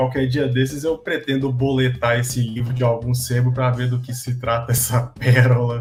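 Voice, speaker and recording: Music plays in the background as a man at medium pitch talks in monotone, flat intonation. His pace is moderate, with hardly any pauses. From Minas Gerais, Brazil. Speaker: podcast co-host. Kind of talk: casual podcast chat.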